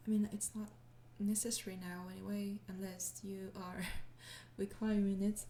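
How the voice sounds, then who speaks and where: Speaking in a French accent, a woman uses a medium pitch and a dark, mellow, somewhat breathy tone, her flat, monotone delivery moving at a moderate pace with long, frequent pauses. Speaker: ASMR audio creator. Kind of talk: casual Q&A talk to listeners.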